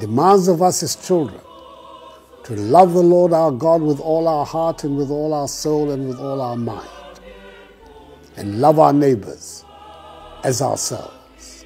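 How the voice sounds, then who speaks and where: A man talks at a fairly slow pace with ordinary pitch variation and long, frequent pauses, while faint music plays in the background. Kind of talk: formal holiday address. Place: office. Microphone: lapel.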